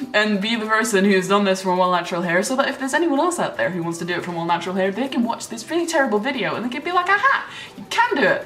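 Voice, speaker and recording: A woman's fairly high voice at a very fast pace, with very wide pitch swings and hardly any pauses, amid noticeable background noise and audible room echo. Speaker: YouTuber, gamer. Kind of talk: casual vlog. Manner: animated, filler-heavy.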